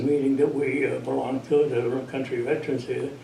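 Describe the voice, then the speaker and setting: A man is speaking in a space with audible room echo. Noticeable background noise is present. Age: 80s+. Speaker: veteran volunteer. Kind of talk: radio interview.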